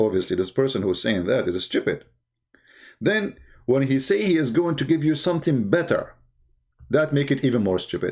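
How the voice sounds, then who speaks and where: Using vocal fry, a man speaks at a fairly quick pace and a fairly high pitch, with very wide pitch swings and long, frequent pauses. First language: not English. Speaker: religious debater. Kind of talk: live stream commentary. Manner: animated; halting.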